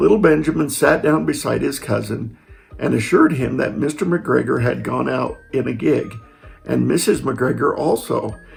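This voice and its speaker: Behind this man's speech there is noticeable background noise. He keeps to a moderate pace. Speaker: storyteller grandfather. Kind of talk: reading aloud.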